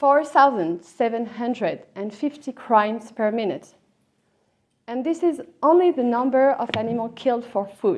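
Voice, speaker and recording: A woman's high-pitched voice with a French accent, lively intonation and a moderate pace. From France. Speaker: lawyer and animal law academic. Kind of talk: conference talk.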